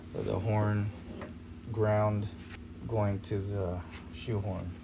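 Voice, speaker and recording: A man's fairly low, monotone voice at a very slow pace, with flat intonation, audible room echo and noticeable background noise. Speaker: car enthusiast youtuber. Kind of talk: casual DIY commentary. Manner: casual.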